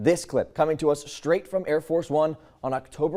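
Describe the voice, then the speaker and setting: Speaking at a moderate pace, a man has a dark, mellow tone. His pitch is fairly high, with ordinary variation. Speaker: TV news anchor. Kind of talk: TV news anchoring. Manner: conversational, approachable, trustworthy.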